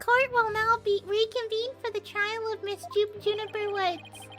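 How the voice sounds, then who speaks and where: An extremely high put-on character voice moves at a moderate pace with clear music in the background. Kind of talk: formal, courtroom.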